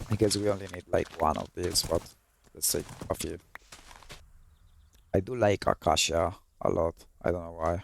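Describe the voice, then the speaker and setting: A man with a Colombian accent speaks at a very deep, low pitch with fairly even intonation. He leaves long, frequent pauses, and the sound is dry and close with no echo. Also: moderate pace. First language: Spanish. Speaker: gaming YouTuber. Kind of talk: gameplay commentary. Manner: halting, with repeated words.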